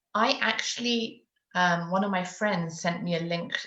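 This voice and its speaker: Somewhat breathy, a woman talks at a moderate pace and a medium pitch. Audible room echo surrounds her voice. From UK. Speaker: parenting coach. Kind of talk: interview. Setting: live video stream.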